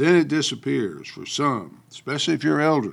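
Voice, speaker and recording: A man with an American accent speaks on a very clean recording with a silent background. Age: 70s. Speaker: political commentator. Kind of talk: monologue commentary.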